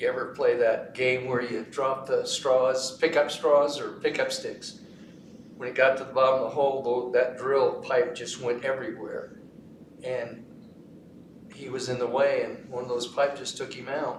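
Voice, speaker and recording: A man's loudness swings widely as he talks at a moderate pace against noticeable background noise. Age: 80s+. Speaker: retired radiation safety monitor. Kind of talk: oral history panel interview.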